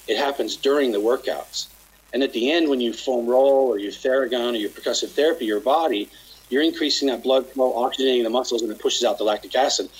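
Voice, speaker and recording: Noticeable background noise runs behind the speech. A man talks at a very fast pace in an American accent. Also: medium pitch for a man, fairly even intonation. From Utah, near Salt Lake City. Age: 50s. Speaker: chiropractor and company founder. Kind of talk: casual interview.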